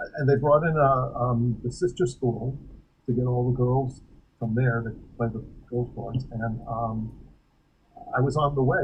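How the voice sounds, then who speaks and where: Noticeable background noise sits behind this recording. A man speaks with an American accent. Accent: New York accent, largely trained out. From New York, Brooklyn. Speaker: voice teacher. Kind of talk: casual interview. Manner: halting, many fillers.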